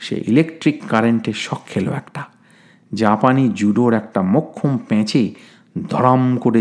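Ordinary pitch movement runs through a natural reading voice.

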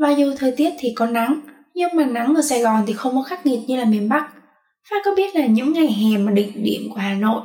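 A woman's high-pitched voice, fairly quick, with lively intonation. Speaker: university student. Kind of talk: casual chat.

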